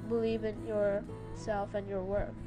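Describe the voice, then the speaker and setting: Music plays behind speech that moves fairly slowly. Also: woman. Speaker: concept artist. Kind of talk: casual podcast talk over painting video. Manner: casual, hesitant with fillers.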